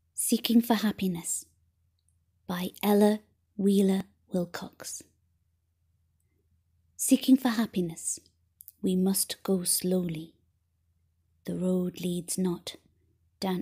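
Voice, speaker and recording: The voice is soft-spoken with a gentle tone. It moves at a very slow pace with long, frequent pauses. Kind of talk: poetry reading.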